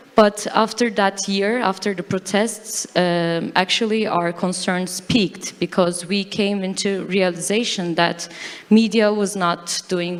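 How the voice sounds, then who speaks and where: Over noticeable background noise, a woman with a Turkish accent talks at a medium pitch with fairly even intonation. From Turkey. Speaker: fact-checker. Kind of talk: conference talk. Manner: halting.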